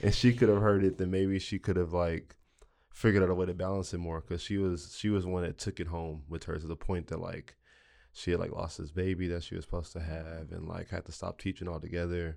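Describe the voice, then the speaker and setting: A man's very deep, low voice with a dark, mellow tone, fairly quick pace and fairly even intonation against a quiet background. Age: 20s. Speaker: podcast co-host. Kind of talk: casual interview.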